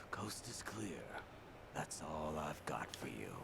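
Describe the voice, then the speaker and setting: Over loud background noise, a man whispers in a put-on character voice at a fairly slow pace. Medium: game stream.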